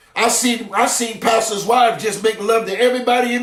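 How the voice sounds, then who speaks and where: A man with an extremely high voice talks at a fairly quick pace with fairly even intonation. Audible room echo and noticeable background noise surround him. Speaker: apostle / preacher. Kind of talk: sermon. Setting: livestream on Facebook and YouTube. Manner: fast.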